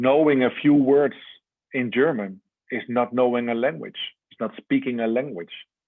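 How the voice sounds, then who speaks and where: A man speaks at a fairly slow pace in a medium pitch, with ordinary pitch variation. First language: Dutch. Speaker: religious teacher. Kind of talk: lecture.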